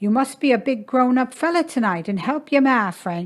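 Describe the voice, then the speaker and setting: A woman speaks at a moderate pace in a put-on character voice. Her pitch sits high. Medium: read story. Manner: calm, chiding, coaxing.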